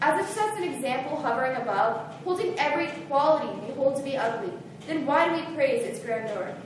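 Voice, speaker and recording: A woman's high-pitched voice at a moderate pace over noticeable background noise. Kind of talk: slam poetry reading.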